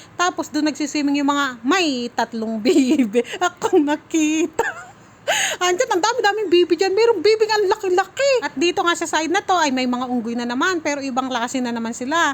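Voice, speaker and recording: Talking at a fairly quick pace, a woman with an extremely high pitch and an animated tone makes very wide pitch swings. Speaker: family vlogger. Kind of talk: vlog narration.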